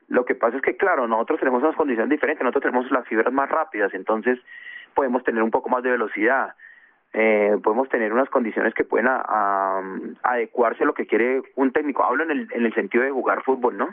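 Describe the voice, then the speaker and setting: Talking at a very fast pace, a man keeps his loudness very even and uses ordinary pitch variation. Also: medium pitch for a man. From Colombia, Bogotá (born in Chocó). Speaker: former footballer and coach. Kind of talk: radio interview. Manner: halting, with repetitions.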